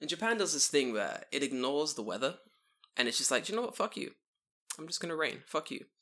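Speaking very fast with a London accent, a man pushes his fairly high voice through very wide pitch swings. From London, England. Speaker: podcast guest, expat in Japan. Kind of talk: casual chat.

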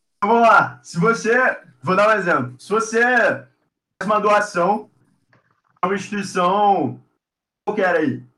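Raising and projecting his voice, a man with a high pitch speaks at a fairly slow pace, with ordinary pitch variation, big swings in loudness, and long, frequent pauses. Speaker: university student and social entrepreneur. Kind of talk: casual interview.

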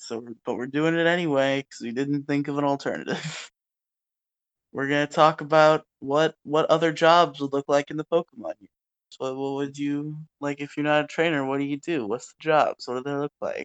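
Fairly high for a man, his voice stays monotone and flat while its loudness swings widely, the sound dry and close with no echo. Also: moderate pace. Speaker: podcast host. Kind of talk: casual chat. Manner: low energy. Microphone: recording on phone.

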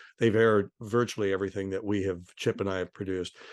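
A man with a fairly low pitch talks in a quiet setting. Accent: US Midwestern. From Ohio, US Midwest. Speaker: documentary producer. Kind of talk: interview. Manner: halting.

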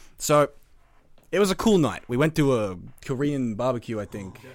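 A man with an Australian accent at a medium pitch, on a very clean recording with a silent background. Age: young. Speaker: podcast host. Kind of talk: casual chat.

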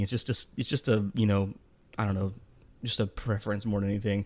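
A man speaks at a very fast pace and a fairly low pitch. The recording is very clean, with a silent background. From Texas. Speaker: podcast co-host. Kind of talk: casual chat.

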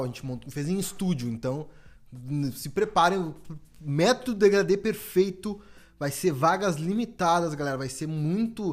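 Over a silent background in a very clean recording, a man speaks at a fairly slow pace. His voice is high-pitched with lively intonation and big swings in loudness. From Brazil, Porto Alegre (Rio Grande do Sul). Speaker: barber and podcast host. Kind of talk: promotional announcement; casual chat.

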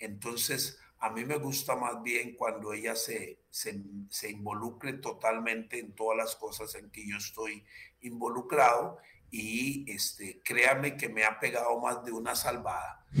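Big swings in loudness mark this monotone, flat intonation. The pace is fairly slow. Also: man, medium pitch for a man. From Costa Rica, Limón province. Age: 60s. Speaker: politician. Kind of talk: interview. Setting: video call. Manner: halting.

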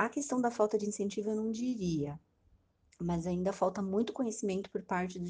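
Somewhat breathy and dark, mellow in tone, a woman speaks at a fairly quick pace in a medium pitch with ordinary pitch variation. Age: 30s. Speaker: hospital nutritionist. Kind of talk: interview.

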